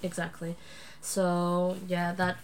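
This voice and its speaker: Here is a woman with a Dutch accent. Her voice sits at a fairly low pitch. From Netherlands, Friesland. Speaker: adoptee sharing personal story. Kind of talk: interview. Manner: hesitant, many fillers.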